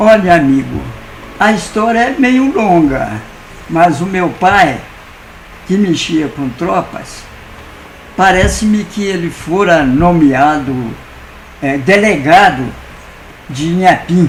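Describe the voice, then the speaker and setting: Over noticeable background noise and audible room echo, a man with a high pitch speaks very slowly with lively intonation and long, frequent pauses. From Minas Gerais, Brazil. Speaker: lawyer and writer. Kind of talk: interview. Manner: halting.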